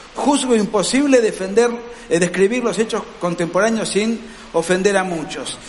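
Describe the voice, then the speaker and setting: A man's high voice at a fairly slow pace, with ordinary pitch variation, audible room echo and noticeable background noise. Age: 40s. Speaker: political writer. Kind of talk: lecture. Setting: stage with audience.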